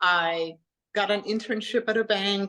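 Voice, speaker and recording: A woman speaks with a German accent. Her pitch is fairly high and her intonation fairly even. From Germany. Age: 40s. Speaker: health coach and personal trainer. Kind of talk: interview.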